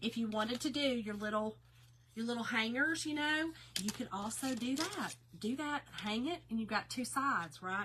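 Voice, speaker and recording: A woman's fairly high voice, lively intonation, moderate pace, noticeable background noise. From Kentucky. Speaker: craft live-stream host. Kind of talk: live stream craft tutorial. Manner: casual, chatty.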